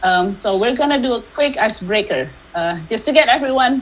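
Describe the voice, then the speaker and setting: A woman talks with lively intonation. Audible room echo and noticeable background noise fill the recording. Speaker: workshop speaker, tech industry manager. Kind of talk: online workshop presentation. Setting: video call. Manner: fast when excited; hesitant fillers (uh, um).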